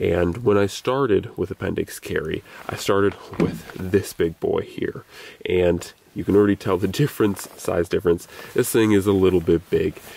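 At a moderate pace, a man with a fairly low pitch and ordinary pitch variation speaks in a plain, everyday voice, with a dry sound with no echo. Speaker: gear reviewer. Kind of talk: casual vlog chat. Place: open country.

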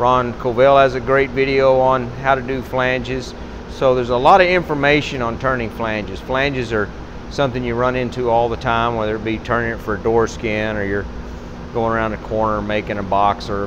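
Noticeable background noise sits under a man who talks at a fairly quick pace with fairly even intonation. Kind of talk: tutorial. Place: workshop.

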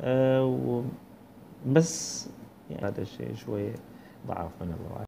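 A man speaks with a Bahraini accent. Light background noise can be heard. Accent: Bahraini Gulf Arabic. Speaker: book reviewer. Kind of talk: book review monologue. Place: home room. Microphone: earbuds.

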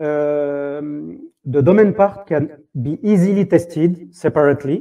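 A man speaks with a French accent in a fairly high pitch with ordinary pitch variation. His tone is dark and mellow, over a quiet background. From France. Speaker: software tech lead. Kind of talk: conference talk. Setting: stage with audience. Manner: halting.

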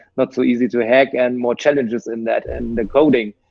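A man speaks with a German accent. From Germany. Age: 40s. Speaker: technology entrepreneur. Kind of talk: interview. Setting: video call. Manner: hesitant, many fillers. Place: home room. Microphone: video call.

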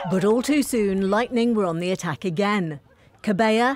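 Music plays in the background as a woman speaks at a moderate pace. Her medium-pitched voice has an energetic tone. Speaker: match commentator. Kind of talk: sports highlights voiceover, scripted recap read in steady narration. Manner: brisk, clipped, energetic, formal.

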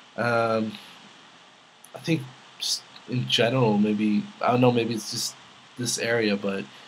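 A man talks at a medium pitch, with noticeable background noise behind him. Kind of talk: casual talk to camera, Q&A vlog.

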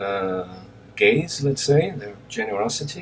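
A man talks at a fairly slow pace with a Portuguese accent. Light background noise can be heard. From Brazil (Recife). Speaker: film director. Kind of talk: recorded acceptance speech. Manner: halting, with many fillers. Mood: warm, grateful, relaxed. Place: home room. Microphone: webcam.

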